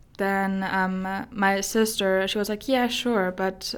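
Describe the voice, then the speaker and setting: In a German accent, a woman talks with monotone, flat intonation. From Germany. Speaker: guest sharing her personal story. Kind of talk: testimony, personal story in interview. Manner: halting, searching for English words.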